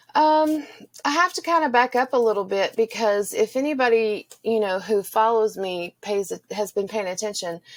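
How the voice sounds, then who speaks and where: A woman's fairly high voice in a Texan accent, moderate in pace with lively intonation, dry and close with no echo. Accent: Texan accent, noticeable. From Texas. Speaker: Spanish teacher. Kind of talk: personal interview testimony.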